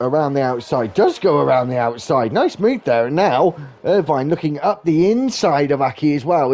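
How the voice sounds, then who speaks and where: A man talks at a moderate pace with a British accent. His pitch is fairly high. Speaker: sim racing commentator. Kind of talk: live commentary. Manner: animated.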